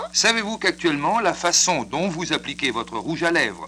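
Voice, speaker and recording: Lively intonation at a moderate pace from a man pitched high. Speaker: radio announcer. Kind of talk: radio infomercial. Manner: paternalistic.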